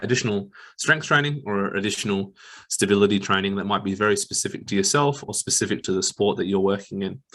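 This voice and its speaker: Mumbling at a fairly quick pace, a man with an Australian accent speaks in a fairly low pitch with ordinary pitch variation over a quiet background. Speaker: exercise physiologist. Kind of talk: webinar presentation. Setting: online webinar.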